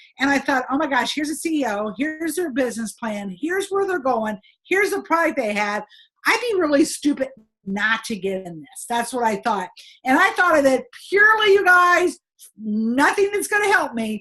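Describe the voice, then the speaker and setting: Raised and projected, a woman's bright, sharp voice sits high in pitch and swings very widely, with an American accent. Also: moderate pace. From United States. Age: 60s. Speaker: direct sales trainer. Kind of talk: sales training talk with personal story. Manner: animated.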